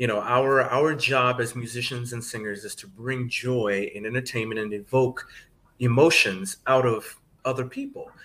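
A man with a medium-pitched voice and a bright, sharp tone speaks at a moderate pace, his loudness swinging widely. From Atlanta, Georgia. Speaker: professor of voice and singer. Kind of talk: casual interview. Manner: passionate.

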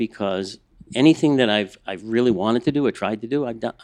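This is a plain, everyday voice: a man of medium pitch with an American accent and ordinary pitch variation. He talks at a fairly quick pace in a dry, close sound with no echo. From US Northeast, Boston. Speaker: museum conservator. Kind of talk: casual chat.

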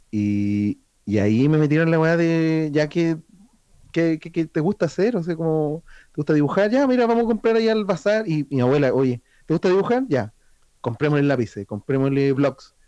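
A man with a Chilean accent speaks in a dark, mellow tone at a fairly high pitch with very wide pitch swings. His pace is moderate, and the sound is dry and close with no echo. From Chile, rural O'Higgins region (Chépica). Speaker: illustrator. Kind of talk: casual chat.

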